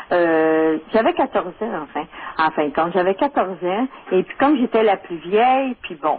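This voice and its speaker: Lively intonation from a woman at a medium pitch, with noticeable background noise. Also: moderate pace. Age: 50s. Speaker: caller. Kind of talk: phone-in radio conversation.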